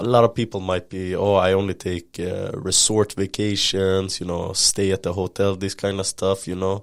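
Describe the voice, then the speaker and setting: Hardly pausing, a man speaks at a moderate pace in a very deep, low pitch with monotone, flat intonation. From Sweden. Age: 20s. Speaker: traveler. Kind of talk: casual interview chat. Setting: podcast recording. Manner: relaxed, casual.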